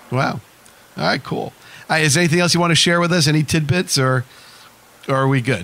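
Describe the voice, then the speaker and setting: A man's fairly high voice with an American accent, very fast delivery, long and frequent pauses, ordinary pitch variation, very even loudness, and noticeable background noise. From Whitestone, Queens, New York. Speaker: radio host. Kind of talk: radio interview.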